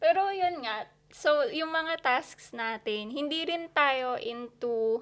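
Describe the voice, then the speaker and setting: Her intonation is lively even though the woman speaks at a very slow pace. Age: 20s. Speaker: podcast co-host. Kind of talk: casual chat. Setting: home recording. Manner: animated.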